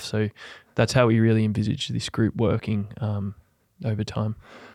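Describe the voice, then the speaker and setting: A man with an Australian accent talks at a fairly quick pace, his fairly low pitch marked by vocal fry. The recording is very clean with a silent background. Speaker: retired footballer, nonprofit co-founder. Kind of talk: casual chat.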